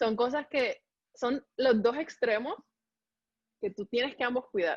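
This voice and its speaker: Animated woman at a fairly slow pace, with ordinary pitch variation. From Colombia. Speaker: medical resident (pathology). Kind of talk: interview.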